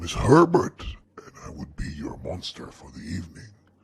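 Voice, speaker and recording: A man growls out a put-on character voice, very deep and low in pitch. His breathy delivery moves at a moderate pace. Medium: read story.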